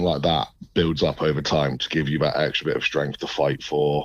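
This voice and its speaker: Noticeable background noise surrounds a man with an English accent whose very deep, low voice stays monotone and flat. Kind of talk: radio interview.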